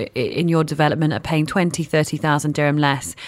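This speaker has a British accent. The recording is very clean, with a silent background. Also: woman. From UK. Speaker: radio host. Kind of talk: radio interview. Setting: radio studio.

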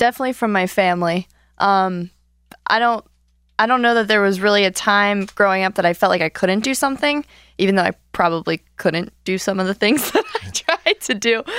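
A woman speaks at a medium pitch and a fairly quick pace with ordinary pitch variation, in a dry, close sound with no echo and a very clean recording with a silent background. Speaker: former intern, advertising sales rep. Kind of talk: casual radio chat. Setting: radio studio. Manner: energetic.

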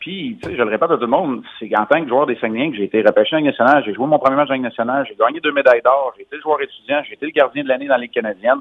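Talking at a very fast pace with hardly any pauses, a man with a fairly high pitch shows ordinary pitch variation and big swings in loudness. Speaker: former hockey player, commentator. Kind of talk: phone interview.

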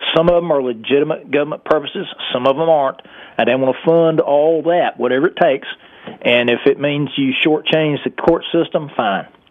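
A man with an American accent speaks at a fairly quick pace and a fairly high pitch, with noticeable background noise. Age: old. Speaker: former state legislator, caller. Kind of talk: radio call-in. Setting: phone call.

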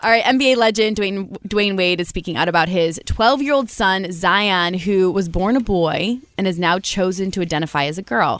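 A woman with an American accent at medium pitch, a moderate pace, hardly any pauses, and ordinary pitch variation. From Michigan. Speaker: radio co-host. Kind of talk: casual chat.

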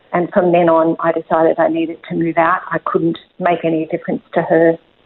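A woman with an Australian accent talks at a fairly quick pace in a fairly low pitch, her intonation flat and monotone. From Australia, rural New South Wales. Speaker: author, speaker and life coach. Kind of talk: personal testimony interview.

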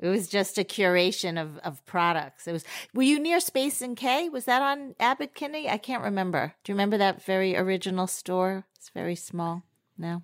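An enthusiastic woman at a moderate pace, lively intonation, on a very clean recording with a silent background. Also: medium pitch for a woman. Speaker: podcast co-host. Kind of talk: casual interview.

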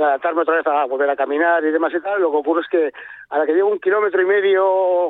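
A man speaks at a very fast pace with a high pitch. His intonation stays fairly even. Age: 60s. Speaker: caller. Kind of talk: call-in consultation. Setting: phone call.

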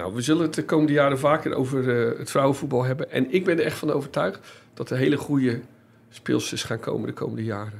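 A very fast man at a medium pitch with vocal fry and ordinary pitch variation. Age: 50s. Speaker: football journalist and podcast host. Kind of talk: casual chat.

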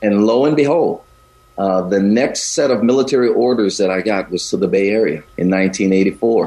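A man with an American accent, fairly low pitch and ordinary pitch variation, at a moderate pace with very even loudness, over noticeable background noise. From US South. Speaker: pastor. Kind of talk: radio interview.

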